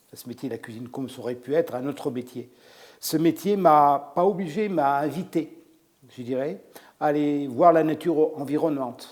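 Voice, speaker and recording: With an unremarkable speaking voice, a man at a fairly high pitch moves at a moderate pace, showing ordinary pitch variation and big swings in loudness. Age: 60s. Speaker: chef. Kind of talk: interview. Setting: restaurant salon.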